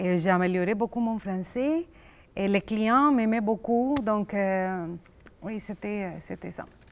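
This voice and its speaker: A woman talks very slowly with ordinary pitch variation on a very clean recording with a silent background. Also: medium pitch for a woman. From Colombia. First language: Spanish (speaking French). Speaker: immigrant psychologist. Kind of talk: casual chat. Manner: halting.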